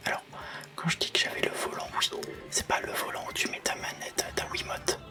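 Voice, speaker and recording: Music plays behind a soft-spoken man. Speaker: ASMR gaming youtuber. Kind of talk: whispered gameplay commentary. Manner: whispering, sometimes gets loud.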